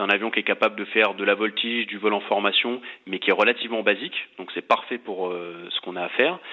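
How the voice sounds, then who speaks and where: A man with a fairly low voice speaks very fast, his intonation fairly even. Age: 30s. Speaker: air force flight instructor. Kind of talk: interview.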